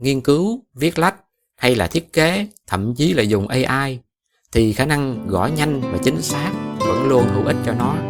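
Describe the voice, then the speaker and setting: A man with a Southern Vietnamese accent, medium pitch and lively intonation, at a fairly slow pace. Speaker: podcast host. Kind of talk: podcast monologue for Vietnamese learners. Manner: casual, conversational.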